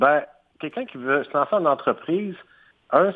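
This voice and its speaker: In a Quebec accent, a man speaks at a moderate pace with lively intonation. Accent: Québécois French. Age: 40s. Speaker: entrepreneur. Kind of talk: interview. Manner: hesitant, with fillers and repetitions.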